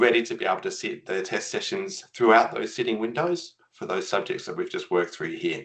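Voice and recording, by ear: A man with a fairly bright tone speaks with ordinary pitch variation.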